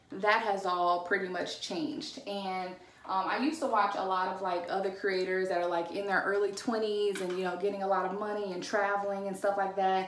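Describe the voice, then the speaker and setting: A woman talks with fairly even intonation and hardly any pauses, and audible room echo surrounds her voice. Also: medium pitch for a woman, fairly quick pace. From Louisiana. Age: 20s. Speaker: influencer. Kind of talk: casual talk to camera. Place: bathroom. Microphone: phone near.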